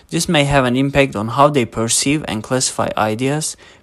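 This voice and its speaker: A man's medium-pitched voice with a Turkish accent, at a moderate pace with ordinary pitch variation. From Turkey. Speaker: linguistics student. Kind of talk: scripted narration.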